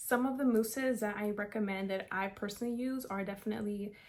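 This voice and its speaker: In a normal speaking voice with an American accent, a woman speaks at a moderate pace with a fairly high pitch and fairly even intonation. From South Florida. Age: 20s. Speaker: beauty vlogger. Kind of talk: tutorial with Q&A. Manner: casual, filler-heavy.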